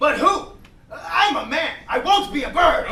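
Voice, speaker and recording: This man puts on a character voice, pitched extremely high. He keeps a moderate pace. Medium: comedy sketch. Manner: pompous, murmuring agreement.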